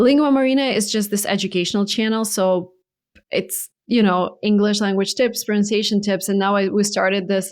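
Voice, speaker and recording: In a Russian accent, a woman speaks at a moderate pace and medium pitch with fairly even intonation, on a very clean recording with a silent background. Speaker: YouTube creator. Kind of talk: interview.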